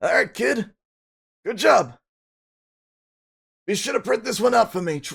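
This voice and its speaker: A man speaks in a put-on character voice. His pitch is high for a man. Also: moderate pace. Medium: game stream. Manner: friendly, fatherly.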